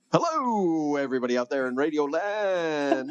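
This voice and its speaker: A put-on character voice at a middle pitch. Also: moderate pace. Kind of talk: radio broadcast. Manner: exaggerated, upbeat.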